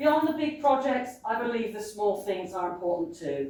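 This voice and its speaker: A woman with a New Zealand accent and lively intonation. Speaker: local election candidate. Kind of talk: candidate campaign speech. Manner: loud.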